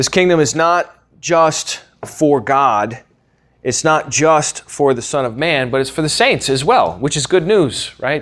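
In an American accent, an unremarkable speaking voice moves at a fairly slow pace with lively intonation. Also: man. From US. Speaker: podcast host and Bible teacher. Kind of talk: lecture.

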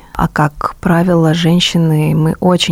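A woman over noticeable background noise. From Russia, Rostov-on-Don. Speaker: jazz singer. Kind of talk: radio interview. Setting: studio.

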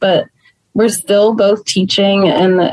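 A woman's plain, everyday voice with an American accent, fairly slow in pace and lively in intonation. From Texas (Plano, North Texas). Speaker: small business owner and teacher. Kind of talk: casual interview.

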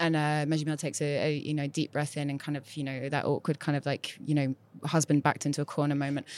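In a Mancunian accent, a woman speaks very fast in a very deep, low voice with monotone, flat intonation. The very clean recording has a silent background and a dry, close sound with no echo. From northern England, Manchester. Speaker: writer and editor. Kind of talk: casual chat. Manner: halting.

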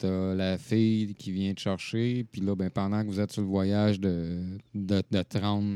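A man with a Quebec accent speaks at a very slow pace in a fairly low voice with a dark, mellow tone and monotone, flat intonation, the sound dry and close with no echo against a quiet background. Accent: Québécois French. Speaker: gaming podcast co-host. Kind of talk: casual chat.

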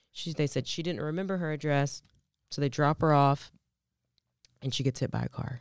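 A woman's very deep, low voice at a fairly quick pace, on a very clean recording with a silent background. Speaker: true crime podcast co-host. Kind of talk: casual chat. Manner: quieter than usual; lower, sultry sick voice.

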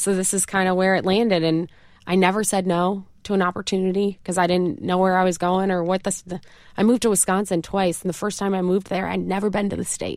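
A woman talks very fast in monotone, flat intonation with a slight upstate New York accent. The recording is very clean, with a silent background. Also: medium pitch for a woman. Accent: slight upstate New York twang. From upstate New York, Rochester. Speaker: campaign spokesperson. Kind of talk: interview. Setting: studio.

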